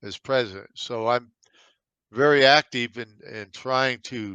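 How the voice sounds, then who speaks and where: A man with a medium-pitched voice and a bright, sharp tone speaks at a fairly slow pace with fairly even intonation, the sound dry and close with no echo against a quiet background. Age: 70s. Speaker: navy veteran. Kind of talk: interview. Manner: halting, repeats words.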